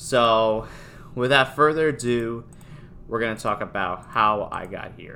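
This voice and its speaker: A man with a northeastern US accent, medium pitch and a bright, sharp tone, at a fairly slow pace, with ordinary pitch variation and big swings in loudness. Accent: American, northeastern US. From Newtown, Connecticut. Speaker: podcaster and streamer. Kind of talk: casual monologue. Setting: home recording. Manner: halting.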